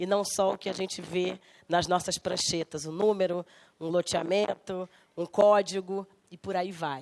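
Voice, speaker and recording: A woman's medium-pitched, monotone voice at a fairly slow pace, with a dry, close sound and no echo. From Rio de Janeiro, Brazil (West Zone). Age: 40s. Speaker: architect and politician. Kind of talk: guest lecture.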